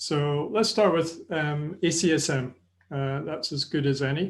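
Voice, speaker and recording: A man with a Scottish accent, fairly high in pitch, at a moderate pace against a quiet background. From Scotland. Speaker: sports nutrition and exercise presenter. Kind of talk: webinar lecture. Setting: online webinar. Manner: hesitant, many fillers.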